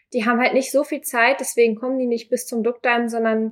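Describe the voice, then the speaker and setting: Fairly quick and monotone with flat intonation, the speech comes through on a very clean recording with a silent background. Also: woman. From northern Germany, near Hamburg. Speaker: volunteer at a seamen's club. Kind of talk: interview. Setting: on location at a seamen's club.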